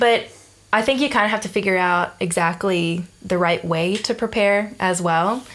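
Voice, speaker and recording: In a normal speaking voice, a woman talks with ordinary pitch variation and very even loudness. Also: medium pitch for a woman, moderate pace. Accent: American. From US South (Georgia). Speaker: bass player and teacher. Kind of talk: casual interview. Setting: at host's place.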